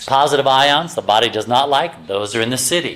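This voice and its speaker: Noticeable background noise is present. Over it, a man speaks with ordinary pitch variation. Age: 60s. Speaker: health lecturer. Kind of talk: lecture. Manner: animated.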